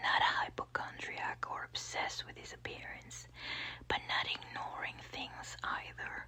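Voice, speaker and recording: The voice is whispering at a fairly slow pace. Background noise is noticeable. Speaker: ASMR audiobook reader. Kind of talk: ASMR audiobook reading, soft whispering. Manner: soft whispered, relaxing.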